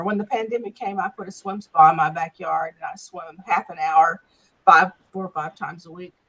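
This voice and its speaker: Recorded dry and close with no echo, a woman speaks. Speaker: cancer survivor in support group. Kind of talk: casual group introduction. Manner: loud. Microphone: losing bandwidth, unstable connection.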